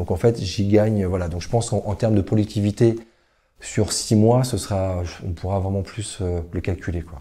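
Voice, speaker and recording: A man's somewhat breathy, dark and mellow voice, fairly low in pitch, with fairly even intonation at a moderate pace, on a very clean recording with a silent background. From western France (Le Mans, Niort, Nantes). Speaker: entrepreneur. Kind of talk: interview. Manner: hesitant, many fillers.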